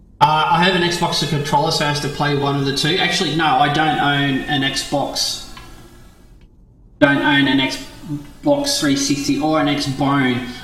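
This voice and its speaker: Over music in the background, a man with an Australian accent speaks at a fairly slow pace with audible room echo. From Australia, Victoria. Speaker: game streamer. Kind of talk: live stream chat. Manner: halting, many fillers and repeats; quiet while gaming.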